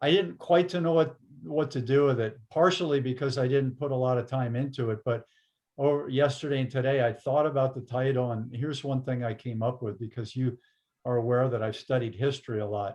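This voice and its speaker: Speaking at a fairly quick pace, a man sounds somewhat breathy, his pitch varying in an ordinary way. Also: medium pitch for a man. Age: older, aging. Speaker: interview host. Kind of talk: casual interview conversation. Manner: halting, many false starts.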